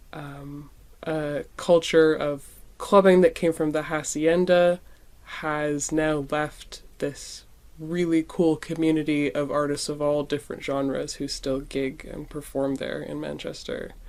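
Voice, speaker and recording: On a very clean recording with a silent background, a woman with a Canadian accent speaks fairly slowly in a very deep, low pitch, with monotone, flat intonation and big swings in loudness. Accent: non-UK accent, Canadian. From Canada. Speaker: musician. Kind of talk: interview conversation.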